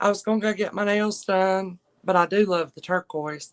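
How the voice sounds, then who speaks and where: A woman speaks with a Southern US accent. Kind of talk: casual livestream chat. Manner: soft-spoken.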